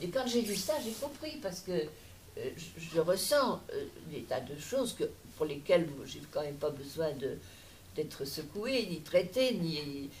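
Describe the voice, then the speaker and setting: In a room with audible echo, a woman speaks at a very slow pace. Her fairly low voice makes very wide pitch swings. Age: 80s+. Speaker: audience member. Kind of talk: Q&A discussion. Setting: public lecture hall with audience.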